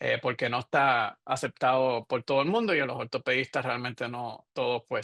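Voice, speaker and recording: Speaking fairly quickly, the man lets his pitch rise and fall as ordinary speech does. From Puerto Rico. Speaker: radiologist, professor. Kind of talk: lecture. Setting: webinar. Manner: halting, with fillers and self-corrections.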